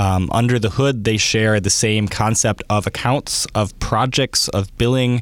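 A man speaks in an unremarkable speaking voice, fairly low in pitch, at a fairly slow pace with hardly any pauses. His loudness stays very even and his intonation fairly even. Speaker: engineering manager, company co-founder. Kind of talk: interview.

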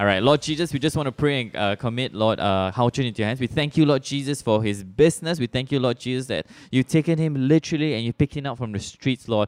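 Very fast speech with a Malaysian accent, hardly any pauses and ordinary pitch variation, in a dry, close, very clean recording with a silent background. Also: man, medium pitch for a man. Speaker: podcast host. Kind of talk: casual interview; prayer.

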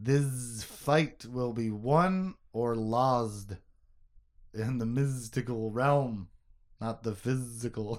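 Using a put-on character voice, a man at a medium pitch speaks at a very slow pace with a hissing sound. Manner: hissing, mystical.

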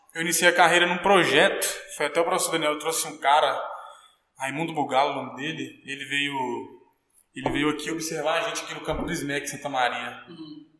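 Fairly high-pitched man at a fairly quick pace, with long, frequent pauses, fairly even intonation, big swings in loudness and audible room echo. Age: 20s. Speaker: professional footballer. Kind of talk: interview.

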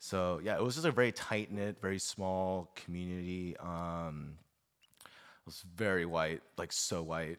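A man with a very deep, low voice speaks at a fairly slow pace in an American accent, his loudness swinging widely. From Los Angeles suburbs, California. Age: 20s. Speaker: friend of the host. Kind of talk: casual chat. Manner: animated.

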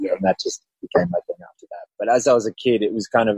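Fairly quick speech from a man in an Australian accent. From Australia (Melbourne). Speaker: actor. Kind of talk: casual chat interview.

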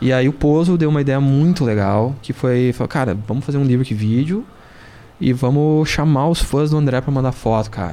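A man speaks in a medium pitch with a dark, mellow tone. His pace is moderate and his pitch variation ordinary. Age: 40s. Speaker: rock drummer. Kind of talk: casual chat. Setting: studio.

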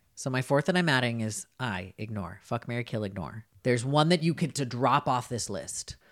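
A plain, everyday voice with an American accent. The intonation is lively and the pace moderate. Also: man, medium pitch for a man, very clean recording, silent background. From US Upper Midwest (Minnesota). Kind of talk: casual chat.

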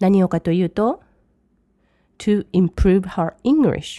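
Dark and mellow in tone, a woman's medium-pitched voice moves at a fairly slow pace. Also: dry, close sound with no echo, quiet background. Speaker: English language teacher. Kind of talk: language lesson.

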